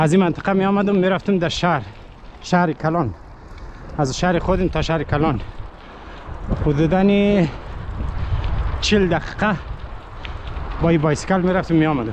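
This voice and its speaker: Delivery moves at a moderate pace, broken by long, frequent pauses. The sound is dry with no echo, though background noise is noticeable. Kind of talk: casual vlog chat. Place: open country. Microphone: phone near.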